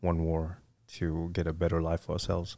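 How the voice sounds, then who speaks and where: A man speaks at a moderate pace in a very deep, low voice with flat, monotone intonation, on a very clean recording with a silent background. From Vietnam. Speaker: retired military fighter pilot. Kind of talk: casual interview.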